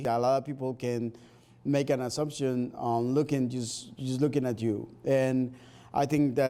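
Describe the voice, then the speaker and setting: A man with a Spanish accent speaks at a moderate pace in a medium pitch with a dark, mellow tone. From Spanish-speaking country, moved to US. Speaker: Spanish teacher. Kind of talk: interview. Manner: hesitant, with fillers.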